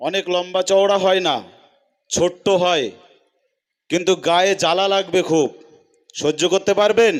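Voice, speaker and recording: Very even loudness and fairly even intonation throughout. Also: man, high pitch for a man. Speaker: political rally speaker. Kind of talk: political speech at a rally. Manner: loud, rousing crowd address.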